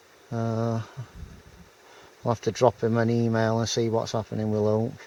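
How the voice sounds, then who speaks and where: A man speaks with a Yorkshire accent at a moderate pace. His medium-pitched voice has a dark, mellow tone and a monotone, flat intonation. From Yorkshire, northern England. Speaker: outdoors vlogger. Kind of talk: casual vlog talk to camera. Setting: outdoors, wild camp in forest. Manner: halting, many fillers.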